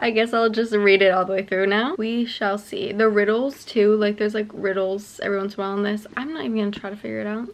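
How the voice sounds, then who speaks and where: Very fast, medium-pitched speech from a woman, with fairly even intonation and hardly any pauses. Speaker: book vlogger. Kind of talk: casual vlog. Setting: at home late at night. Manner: filler-heavy, lots of 'like'.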